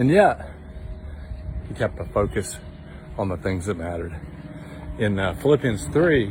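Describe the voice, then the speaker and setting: A man talks at a moderate pace and a fairly low pitch, with very wide pitch swings and long, frequent pauses. Noticeable background noise runs underneath. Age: 60s. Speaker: devotional video host. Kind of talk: devotional talk. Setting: outdoors, walking in the woods. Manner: casual, conversational.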